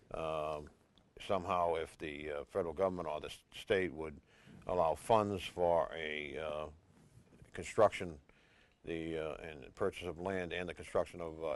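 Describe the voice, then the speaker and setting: A man with an American accent speaks in a very deep, low voice. His intonation is monotone and flat. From Revere, Massachusetts (Boston area). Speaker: housing authority board chair. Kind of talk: local TV interview. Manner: halting, many fillers.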